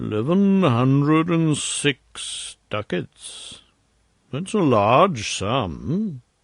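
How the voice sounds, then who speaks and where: A man uses a put-on character voice, fairly high in pitch with very wide pitch swings. He speaks at a very slow pace against a quiet background. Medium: read story. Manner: deliberate, insinuating.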